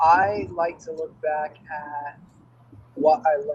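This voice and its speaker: Very slowly, a man speaks in a fairly high, somewhat breathy voice. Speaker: practice podcast guest. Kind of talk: casual chat. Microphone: mic poorly placed, connection breaking up.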